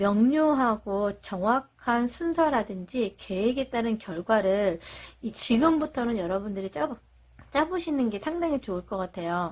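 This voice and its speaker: A woman with a fairly high voice speaks at a fairly slow pace, her pitch swinging very widely. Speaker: tarot reader. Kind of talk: tarot reading monologue.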